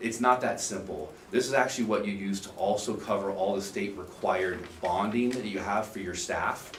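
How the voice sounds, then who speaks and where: There is audible room echo and noticeable background noise as a man speaks at a fairly low pitch with fairly even intonation. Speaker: insurance agent presenting to board. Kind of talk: public meeting presentation. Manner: fast.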